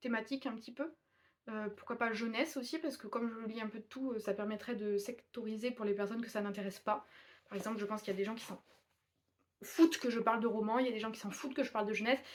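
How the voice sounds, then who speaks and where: A woman talks very fast in a fairly high pitch, with ordinary pitch variation. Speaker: booktuber reviewing manga. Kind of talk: casual video review. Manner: mumbling, not clearly articulated.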